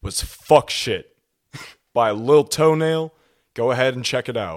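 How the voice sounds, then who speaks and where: This man has a plain, everyday voice, fairly high for a man, speaking at a moderate pace with ordinary pitch variation. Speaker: podcast co-host. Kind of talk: casual chat. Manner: vulgar.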